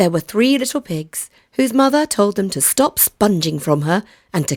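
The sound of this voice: The reading here is delivered in an unforced reading voice.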